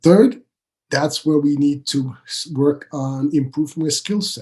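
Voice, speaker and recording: Somewhat breathy and dark, mellow in tone, a man talks at a fairly slow pace in a fairly high pitch with ordinary pitch variation. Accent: Swiss. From Switzerland. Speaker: business coach. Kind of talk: podcast interview.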